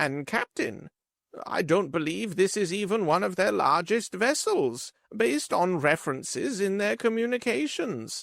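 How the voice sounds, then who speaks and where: A man uses a put-on character voice pitched high. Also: moderate pace, very clean recording, silent background. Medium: read story. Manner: quiet, restrained.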